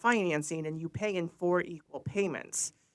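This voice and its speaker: Ordinary pitch variation marks this voice with an American accent, captured in a very clean recording with a silent background. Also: woman. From northern Illinois, Sycamore. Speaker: county treasurer. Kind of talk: interview.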